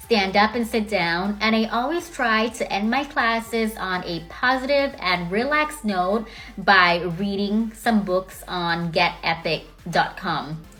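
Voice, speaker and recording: Against noticeable background noise, a woman with a medium pitch and an American accent speaks at a fairly slow pace with lively intonation. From Thailand, Bangkok. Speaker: English teacher. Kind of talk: self-introduction video. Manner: friendly.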